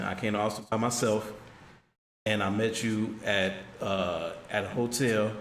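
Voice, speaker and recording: Audible room echo surrounds a man's fairly low voice, which stays monotone and flat with very even loudness. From Chicago. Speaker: streamer's friend. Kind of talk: casual chat. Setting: livestream. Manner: quiet. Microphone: too quiet for the mic.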